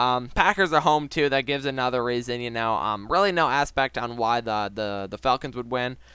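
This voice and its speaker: Very clean recording, silent background, a man at medium pitch with ordinary pitch variation and a bright, sharp tone. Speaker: sports YouTuber giving NFL predictions. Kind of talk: casual solo commentary video. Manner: fast.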